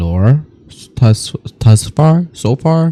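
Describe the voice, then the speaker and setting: With a non-native accent, a man speaks in a dark, mellow tone, his pitch swinging very widely. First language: not English. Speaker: reaction youtuber. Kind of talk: video reaction commentary. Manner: animated.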